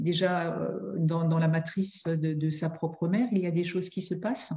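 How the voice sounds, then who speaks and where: A woman speaks at a fairly low pitch. Her intonation stays fairly even at a moderate pace. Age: 60s. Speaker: family therapist and mediator. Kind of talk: interview. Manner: halting.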